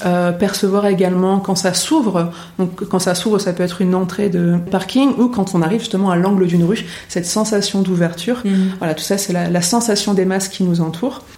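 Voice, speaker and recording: A woman talks at a fairly quick pace in a medium pitch, her intonation fairly even, with audible room echo around her. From northern France. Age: 30s. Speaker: orientation and mobility instructor. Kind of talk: interview. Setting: in person at her workplace.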